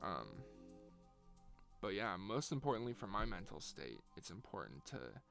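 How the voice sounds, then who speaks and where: A man's relaxed, fairly low voice with vocal fry and very wide pitch swings. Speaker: musician. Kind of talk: casual vlog talk. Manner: unscripted, relaxed.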